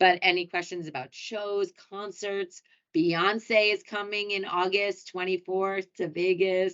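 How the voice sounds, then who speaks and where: At a fairly slow pace, a woman with a New York accent speaks at medium pitch with fairly even intonation. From US Northeast, New York City. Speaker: hotel sales director. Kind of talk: webinar presentation. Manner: casual, chatty.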